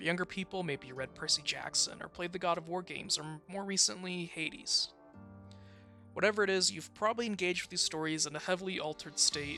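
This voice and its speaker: Very fast speech with music in the background. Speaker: student. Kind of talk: video essay narration. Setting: home recording, poor mic quality. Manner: some stuttering.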